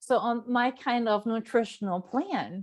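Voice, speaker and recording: A woman speaks in a high-pitched voice with a German accent. Her tone is animated. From Germany. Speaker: nutrition coach. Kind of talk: live stream talk.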